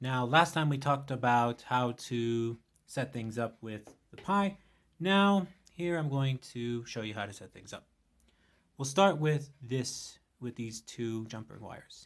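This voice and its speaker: A man with a normal speaking voice talks at a medium pitch and a fairly slow pace. His intonation is lively, and his loudness swings a lot. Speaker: tech tutorial youtuber. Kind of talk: tutorial.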